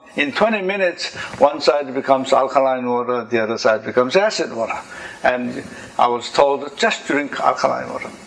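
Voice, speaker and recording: Noticeable background noise sits behind a man at a medium pitch. He talks at a fairly quick pace with lively intonation. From Korea. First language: Korean. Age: 70s. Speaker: engineer and inventor. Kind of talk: talk to an audience.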